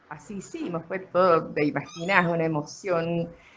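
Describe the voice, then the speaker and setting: A woman speaks at a moderate pace in a fairly low pitch. There is noticeable background noise. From Argentina, Mendoza (Guaymallén). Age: 60s. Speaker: former beekeeper. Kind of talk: interview. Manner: hesitant, many fillers.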